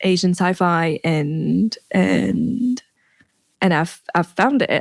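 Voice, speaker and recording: A woman speaks with a French accent. The sound is dry and close with no echo. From France. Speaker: writer and performer. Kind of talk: interview. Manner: halting, many fillers.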